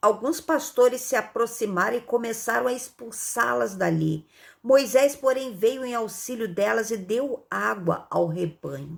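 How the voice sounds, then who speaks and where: Her pitch swings very widely as a woman speaks at a fairly slow pace. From Rio de Janeiro, Brazil. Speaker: Bible teacher. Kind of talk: Bible reading with commentary. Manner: conversational, frequent fillers.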